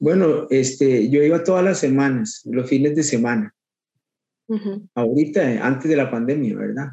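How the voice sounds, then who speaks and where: A man talks in a Costa Rican accent at a moderate pace. His fairly high voice has a dark, mellow tone and lively intonation. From Costa Rica, Guadalupe (Goicoechea). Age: 50s. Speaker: swing and bolero dancer. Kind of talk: interview. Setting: video call. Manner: halting, many repetitions.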